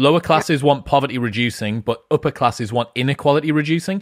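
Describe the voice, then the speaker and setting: Very fast speech comes through in a dry sound with no echo against a quiet background. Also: man. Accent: British. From UK. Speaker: podcast host. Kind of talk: interview conversation. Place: home room. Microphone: studio mic.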